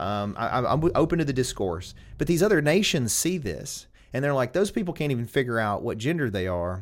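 A man at medium pitch with a Southern US accent and very wide pitch swings, on a very clean recording with a silent background. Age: 40s. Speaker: lawyer and podcast host. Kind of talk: casual interview chat.

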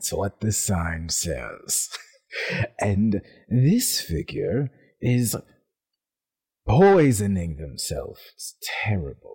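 At a medium pitch, a man does a put-on character voice at a very slow pace with long, frequent pauses. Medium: actual play.

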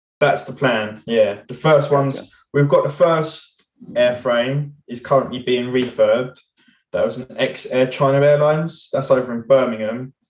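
Speaking at a moderate pace with a British accent, a man keeps a medium pitch and fairly even intonation while his loudness swings widely. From UK. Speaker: podcast host. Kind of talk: casual chat.

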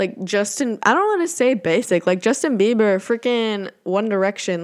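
A woman's fairly high voice at a moderate pace, with ordinary pitch variation and a quiet background. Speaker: podcast host. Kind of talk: casual solo monologue. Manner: occasional stumbles.

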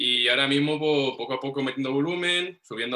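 A man's medium-pitched voice at a very fast pace. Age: 20s. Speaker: powerlifter. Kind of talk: casual chat.

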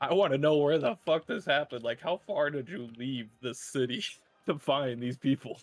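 Here a man has a plain, everyday voice with a fairly high pitch. He speaks at a moderate pace with ordinary pitch variation. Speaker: tabletop game player. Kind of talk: casual banter.

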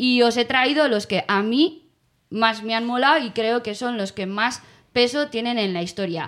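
A woman with a fairly high pitch speaks at a fairly slow pace in an animated tone with ordinary pitch variation, in a very clean recording with a silent background. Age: 30s. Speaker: podcast co-host. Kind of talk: casual chat.

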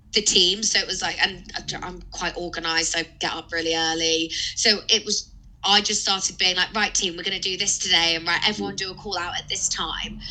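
With noticeable background noise, a woman talks at a fairly quick pace in a monotone, flat intonation. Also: medium pitch for a woman. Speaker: recruiter. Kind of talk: casual interview chat.

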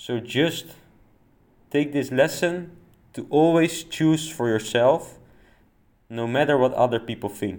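With a non-native accent, a man with a fairly high pitch and ordinary pitch variation speaks at a fairly slow pace, leaving long, frequent pauses, on a very clean recording with a silent background. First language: not English. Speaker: personal development podcaster. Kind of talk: solo monologue podcast.

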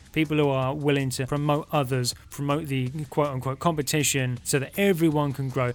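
A man with an American accent talks at a fairly quick pace with hardly any pauses, his pitch fairly high, over music in the background. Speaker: podcast host. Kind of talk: casual podcast hosting. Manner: animated, friendly.

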